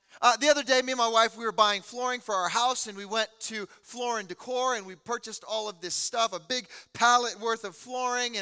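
Over faint background music, a man speaks in a raised, projected voice with fairly even intonation and hardly any pauses. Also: fairly quick pace. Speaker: pastor preaching. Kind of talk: sermon. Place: church. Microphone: headset.

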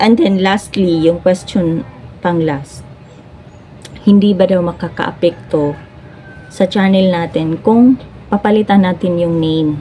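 At a fairly slow pace and with ordinary pitch variation, this voice carries a Cebuano accent while music plays in the background. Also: woman. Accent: Cebuano (Bisaya) accent in Tagalog. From Cebu, Philippines. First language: Cebuano (speaking Tagalog). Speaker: vlogger and live streamer. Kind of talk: casual vlog talk to camera.

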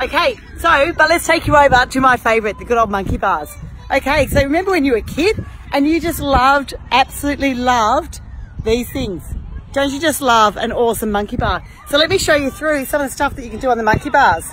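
Over faint background music, a woman talks at a fairly quick pace in a high pitch, the sound dry with no echo. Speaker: fitness trainer. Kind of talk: casual exercise tutorial. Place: garden. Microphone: phone near.

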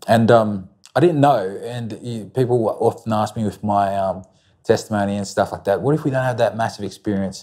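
A man with an Australian accent talks at a moderate pace in a fairly low, dark, mellow voice. His pitch varies in an ordinary way, and the background is quiet. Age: 20s. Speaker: interview guest. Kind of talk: testimony. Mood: reflective, personal story. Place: studio. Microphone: lapel.

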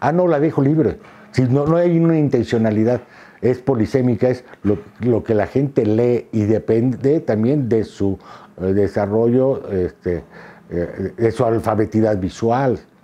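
With a dark, mellow tone, a man speaks at a fairly slow pace. His loudness stays very even, and his pitch varies in an ordinary way. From Mexico City. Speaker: photographer and visual artist; interviewee. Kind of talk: interview monologue. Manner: hesitant, many fillers and repetitions. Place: home room. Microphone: lapel.

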